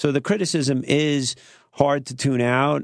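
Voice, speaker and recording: Against a quiet background, a man speaks with a New York accent. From Queens, New York. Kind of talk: radio interview. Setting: studio.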